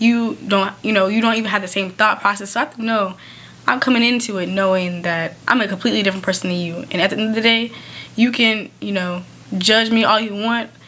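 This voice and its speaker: Over noticeable background noise, a woman talks at a very fast pace. Her pitch is medium. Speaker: podcast co-host. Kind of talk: casual podcast chat. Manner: loud; animated.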